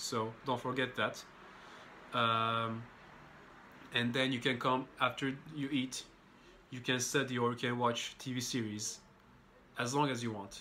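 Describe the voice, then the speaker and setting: A man's flat, monotone voice with a bright, sharp tone, a fairly slow pace and long, frequent pauses over light background noise. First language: non-English native language. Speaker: international student vlogger. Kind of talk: casual vlog monologue. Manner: casual, hesitant with fillers. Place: home room. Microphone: phone near.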